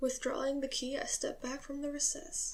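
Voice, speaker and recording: The voice is soft-spoken with a nervous tone. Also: woman. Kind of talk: soft-spoken ASMR reading of a classic story. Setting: camera-facing ASMR recording at home. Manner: soft-spoken, slightly nervous.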